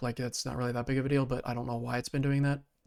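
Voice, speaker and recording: On a very clean recording with a silent background, a man's voice comes through. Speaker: gaming commentator reacting to a video. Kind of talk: casual reaction commentary. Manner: filler-heavy, halting.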